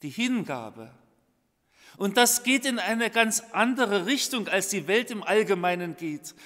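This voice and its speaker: Against a quiet background, a man with a high pitch and a bright, sharp tone speaks at a fairly slow pace. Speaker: preacher. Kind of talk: sermon. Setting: church. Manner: formal; earnest. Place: church. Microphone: podium.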